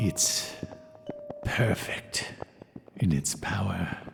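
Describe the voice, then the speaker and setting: A man's put-on character voice, fairly low in pitch, with clear music in the background. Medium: audio drama. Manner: musing, wry.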